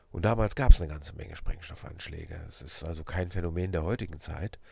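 The man's voice is very deep and low, with ordinary pitch variation. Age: 50s. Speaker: police officer and podcast host. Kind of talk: personal introduction monologue.

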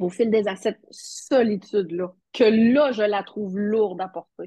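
A woman speaks very slowly with long, frequent pauses, her medium-pitched voice somewhat breathy with a dark, mellow tone. Her pitch varies in an ordinary way, and the sound is dry and close with no echo. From Quebec, Matane (Bas-Saint-Laurent). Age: 40s. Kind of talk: interview.

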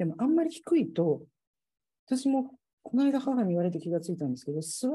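Her voice is somewhat breathy, with a dark, mellow tone. This woman's pitch swings very widely. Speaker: civil engineer. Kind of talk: casual chat. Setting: video call.

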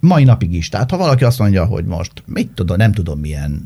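The man speaks with lively intonation. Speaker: journalist. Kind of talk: casual chat.

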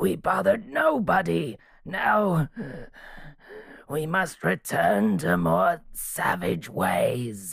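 This is a put-on character voice. Its pitch sits low to middle. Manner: regal and aloof, turning anguished and bitter.

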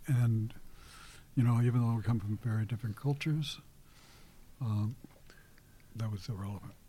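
A man with an American accent, dark, mellow and somewhat breathy, at a moderate pace with long, frequent pauses. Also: medium pitch for a man. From Kansas City area, US Midwest. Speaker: activist and war veteran. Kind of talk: interview conversation. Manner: halting.

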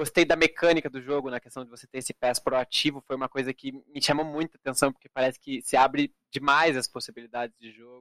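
Fairly quick and fairly even in intonation, a man with an ordinary speaking voice and fairly high pitch is heard in a dry, close sound with no echo. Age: 20s. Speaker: esports card game player. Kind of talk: casual interview.

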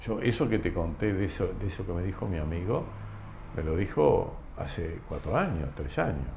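This man has a very deep, low pitch and ordinary pitch variation. He speaks at a moderate pace, and room echo is audible. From Argentina, Entre Ríos (Concepción del Uruguay). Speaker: insurance company president. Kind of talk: interview conversation. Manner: halting.

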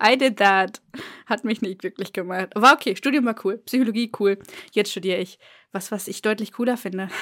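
Her pitch sits in the medium range and varies in an ordinary way as a woman with a normal speaking voice talks at a fairly quick pace. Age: 20s. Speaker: podcast co-host, student, book YouTuber. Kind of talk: casual chat.

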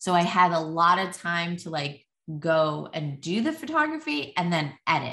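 A woman speaks at a moderate pace in a fairly low pitch. Her tone is bright, sharp and animated. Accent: New Jersey. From US, New Jersey. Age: 40s. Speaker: artist and parenting advice creator. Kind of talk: podcast interview. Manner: animated, filler-heavy.

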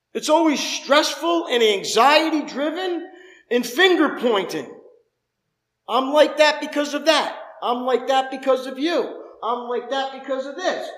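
Ordinary pitch variation and a fairly slow pace, with audible room echo. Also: man, extremely high pitch for a man. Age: 50s. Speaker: pastor. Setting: church service with congregation. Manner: fervent, conversational preaching with rhetorical questions; repetitive rhythmic cadence, building emphasis.

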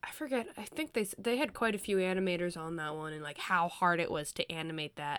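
With an ordinary speaking voice, a woman talks at a fairly quick pace with hardly any pauses, her pitch fairly low and her intonation lively. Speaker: podcast co-host. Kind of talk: casual chat.

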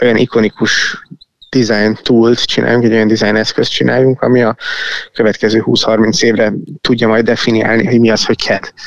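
A man at medium pitch and moderate pace, with a dry, close sound and no echo. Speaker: tech company founder and CEO. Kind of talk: interview. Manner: halting, many fillers.

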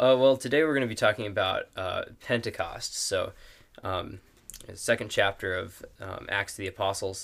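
On a very clean recording with a silent background, a man with an American accent speaks with big swings in loudness. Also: moderate pace. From northern Wisconsin (Superior). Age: young. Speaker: university student, bible study member. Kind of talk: casual chat about scripture. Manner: halting, many fillers.

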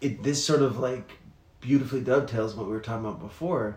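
A man at medium pitch with ordinary pitch variation, in audible room echo. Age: 30s. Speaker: podcast host. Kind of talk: casual chat.

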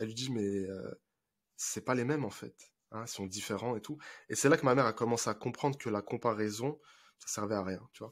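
In a very clean recording with a silent background, a man talks at a fairly quick pace and medium pitch, with ordinary pitch variation, big swings in loudness and long, frequent pauses. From France, Paris suburbs (Seine-Saint-Denis). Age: 20s. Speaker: relationship coach. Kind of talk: casual interview.

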